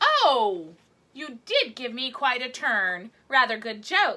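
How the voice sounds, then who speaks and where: A woman speaks in a put-on character voice, high-pitched and very slow. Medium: read story. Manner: playful, punning.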